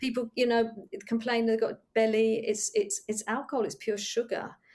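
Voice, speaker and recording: In an English accent, a woman speaks at a moderate pace with a fairly high pitch. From England. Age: 60s. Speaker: yoga retreat leader. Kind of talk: casual chat.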